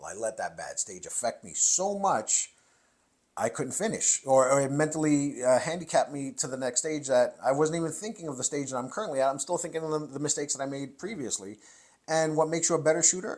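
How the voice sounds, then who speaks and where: Talking at a very fast pace, a man uses a fairly high voice with big swings in loudness. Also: ordinary pitch variation. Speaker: competitive shooter and firearm instructor. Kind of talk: interview conversation.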